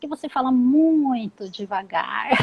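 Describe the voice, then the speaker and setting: The voice belongs to a woman. Her pitch is high. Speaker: psychologist and career advisor. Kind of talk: live interview, career advice. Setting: live stream. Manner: instructive, explanatory.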